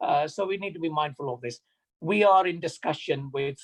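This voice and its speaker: A man's somewhat breathy voice moves at a fairly quick pace, its intonation fairly even. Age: 60s. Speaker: mosque trustee. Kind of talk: community announcement. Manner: halting.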